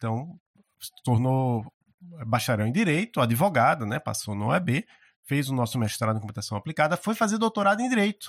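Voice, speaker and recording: Over a very clean, silent background with a dry, close sound and no echo, a man talks at a fairly quick pace and medium pitch, his pitch swinging very widely. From Brazil, Maceió (Alagoas). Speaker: university professor. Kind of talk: interview conversation. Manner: halting, frequent word repetitions.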